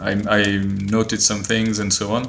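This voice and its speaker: A man's fairly low, monotone, flat voice with a French accent, over noticeable background noise. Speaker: board game designer. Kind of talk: interview answer. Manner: hesitant, many fillers.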